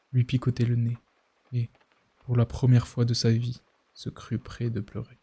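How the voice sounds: The background stays quiet. A natural reading voice is heard over it.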